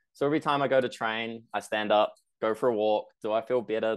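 A medium-pitched man speaks with a New Zealand accent. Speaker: personal trainer. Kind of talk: interview.

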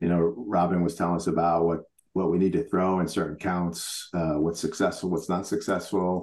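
Very deep and low in pitch, a man with an American accent speaks at a moderate pace. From New York. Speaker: national baseball team head coach. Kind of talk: interview.

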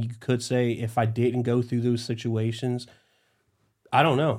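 A man at medium pitch, fairly slow pace and monotone, flat intonation. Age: 30s. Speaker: police chief. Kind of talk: casual interview chat.

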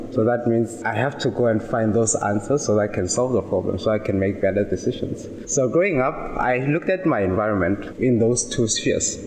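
Amid noticeable background noise, a man speaks at a medium pitch and fairly quick pace, keeping ordinary pitch variation and very even loudness. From South Africa, Limpopo. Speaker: software engineer. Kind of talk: casual chat.

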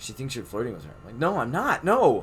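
At a moderate pace, the speaker's voice shows vocal fry. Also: man. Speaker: podcast host. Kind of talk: casual chat.

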